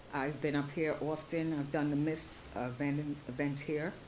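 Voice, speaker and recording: The speech moves at a fairly slow pace. Audible room echo surrounds it. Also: woman. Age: 60s. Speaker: small business owner presenting at expo. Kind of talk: pitch presentation at expo. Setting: stage at expo event. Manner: halting.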